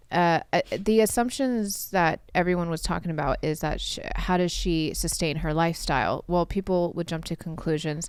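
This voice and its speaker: A woman with an American accent, fairly low-pitched, at a moderate pace with hardly any pauses and ordinary pitch variation. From Southern California, Orange County. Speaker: podcast host. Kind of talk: interview conversation.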